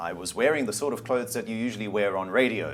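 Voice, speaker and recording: Despite noticeable background noise, a man's fairly low voice comes through with lively intonation. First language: German. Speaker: media company CEO and former broadcaster. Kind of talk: interview. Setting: studio.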